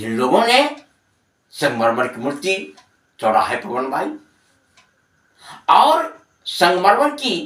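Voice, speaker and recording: This man speaks high in pitch with very wide pitch swings, big swings in loudness and long, frequent pauses. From Bihar, India. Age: 60s. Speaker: Hindi teacher. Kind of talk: lecture explaining a literary text to students.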